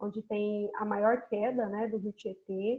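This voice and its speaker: A woman speaks with an interior São Paulo accent. Her pace is moderate. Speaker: university geography professor. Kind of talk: online lecture.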